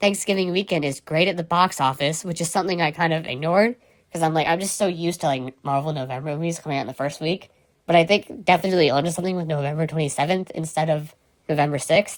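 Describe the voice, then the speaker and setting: At a very fast pace, a woman talks with a fairly low pitch. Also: ordinary pitch variation. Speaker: podcast host. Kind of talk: casual chat.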